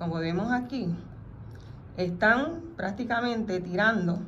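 Over light background noise, a woman speaks at a very slow pace with lively intonation and long, frequent pauses. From Puerto Rico, Mayagüez. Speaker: radio host. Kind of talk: radio talk show; reading aloud a legal document. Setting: radio studio. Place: studio. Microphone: studio mic.

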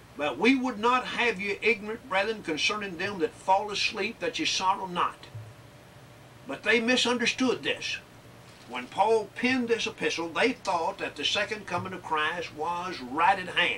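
Raising and projecting his voice, a man speaks with lively intonation at a moderate pace amid light background noise. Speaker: preacher. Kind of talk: sermon. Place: classroom.

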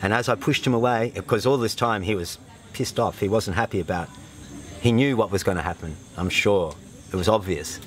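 A man with an Australian accent at a very fast pace, ordinary pitch variation, dry sound with no echo, and light background noise. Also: fairly low pitch for a man. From Australia, northern New South Wales. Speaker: retreat participant, former fitter machinist. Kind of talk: testimonial interview. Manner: halting, with many fillers. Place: open country.

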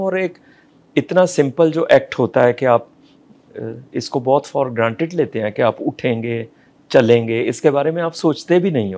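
Lively intonation from a man. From Punjabi family, India. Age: 60s. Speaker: fashion model and actor. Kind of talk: interview answer. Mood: reflective, candid about depression. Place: home room. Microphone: lapel.

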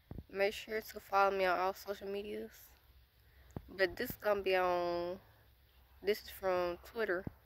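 In an American accent, a woman speaks at a moderate pace and medium pitch, her intonation monotone and flat, with long pauses coming often. The sound is dry with no echo, over light background noise. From United States. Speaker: YouTuber; vlogger. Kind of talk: casual Q&A vlog. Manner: hesitant, many filler words. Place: forest. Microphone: phone near.

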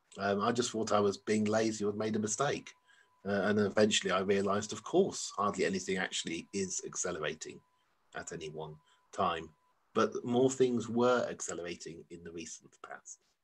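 This is a plain, everyday voice, a man's at a fairly low pitch. He keeps a moderate pace with ordinary pitch variation and big swings in loudness. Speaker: professor. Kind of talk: lecture. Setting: online lecture. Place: home room. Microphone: video call.

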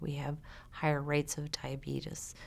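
With vocal fry and a slightly mellow tone, a woman speaks at a low pitch.

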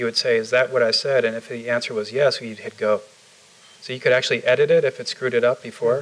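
A man of medium pitch with an American accent and fairly even intonation. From Chicago, US Midwest. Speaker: tech startup founder; interviewee. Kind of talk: onstage interview. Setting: stage with audience. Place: office. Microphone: lapel.

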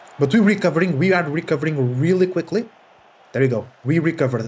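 A man shouting loudly in a high-pitched voice. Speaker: gaming YouTuber. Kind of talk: live sports commentary; casual gaming commentary. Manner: rapid-fire, excited play-by-play that erupts into loud shouting on goals. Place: home room.

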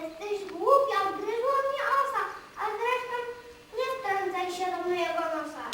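A female-sounding, put-on character voice squeaks out at an extremely high pitch with a nasal quality and a moderate pace. Strong echo surrounds it. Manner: irritated, snappy.

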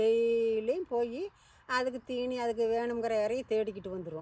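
A woman speaks with a Kongu accent in a fairly high pitch. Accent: Kongu Tamil. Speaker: storyteller. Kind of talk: folk story told to children. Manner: casual, conversational.

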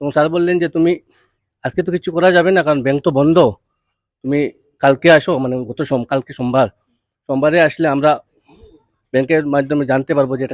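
The audio is dry and close, without echo. A man talks in a fairly high voice with ordinary pitch variation. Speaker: parent and victim of extortion threat. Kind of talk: news interview testimony. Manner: halting, with many fillers.

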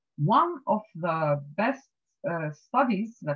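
A woman's somewhat breathy voice comes through over a quiet background. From Tunisia. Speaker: marine scientist. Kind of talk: lecture. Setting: video call. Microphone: video call.

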